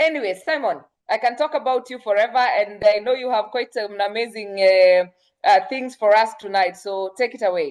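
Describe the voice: The voice moves at a moderate pace, with a slightly mellow tone and ordinary pitch variation. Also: woman, medium pitch for a woman.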